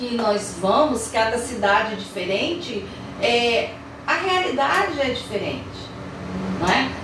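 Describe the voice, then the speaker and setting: In a room with audible echo and noticeable background noise, a woman speaks at a high pitch with lively intonation and long, frequent pauses. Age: 60s. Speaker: teacher. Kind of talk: interview.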